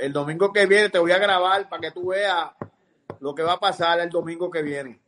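A man with a Puerto Rican accent talks at a high pitch and a fairly quick pace. Light background noise can be heard. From Puerto Rico. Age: 60s. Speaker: fisherman and sailor. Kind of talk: casual chat. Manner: animated. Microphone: video call.

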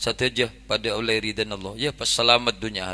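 A man speaks at a moderate pace with a Madura accent, his bright, sharp tone edged with vocal fry. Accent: Madurese-accented Indonesian. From Indonesia. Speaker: Islamic preacher. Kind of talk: humorous sermon. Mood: jokey, lively. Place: tent. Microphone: handheld.

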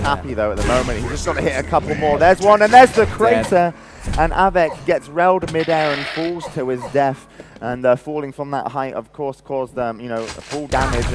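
A man speaks fairly quickly with lively intonation. Noticeable background noise runs underneath. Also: fairly high pitch for a man. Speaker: esports commentator. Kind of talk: live esports match commentary. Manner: excited, fast-paced.

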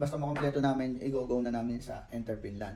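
This man's medium-pitched speech moves at a very fast pace. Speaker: project planner, engineer. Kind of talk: interview. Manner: halting.

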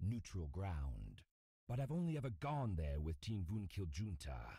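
This man has a very deep, low pitch, a dark, mellow tone and a somewhat breathy quality. He talks at a moderate pace with very wide pitch swings. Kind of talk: noir audio drama, scripted character dialogue. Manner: formal, aloof and icy, grave and measured.

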